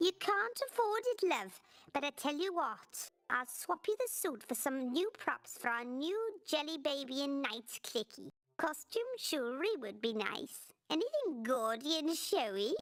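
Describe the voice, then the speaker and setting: This is a put-on character voice that sounds female. It sits high in pitch for a woman. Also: moderate pace. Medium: video game. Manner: curt, tart.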